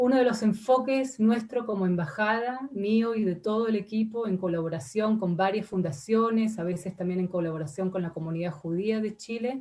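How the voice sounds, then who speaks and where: A woman talks at a moderate pace with hardly any pauses, at a medium pitch with ordinary pitch variation. Her voice is somewhat breathy, with a dark, mellow tone. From Argentina. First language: not Spanish; Spanish is her third language (speaking Spanish). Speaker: ambassador. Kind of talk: parliamentary committee testimony. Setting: senate committee session. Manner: halting, many fillers and repetitions.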